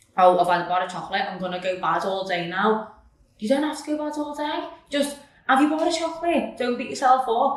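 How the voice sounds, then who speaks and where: Loud and fast-moving, a woman speaks at a high pitch with very wide swings, amid noticeable background noise and audible room echo. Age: 20s. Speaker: personal trainer and nutrition coach. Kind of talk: casual chat. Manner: animated.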